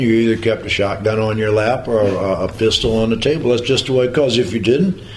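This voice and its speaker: A man with a rural Missouri accent at a medium pitch and fairly quick pace, with audible room echo and noticeable background noise. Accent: rural Missouri American. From US Midwest, Jefferson County Missouri. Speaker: war veteran. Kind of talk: testimony. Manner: halting.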